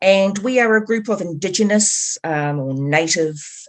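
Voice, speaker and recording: A woman speaks with a New Zealand accent. Her intonation is lively. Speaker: activist, group co-founder. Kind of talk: interview conversation.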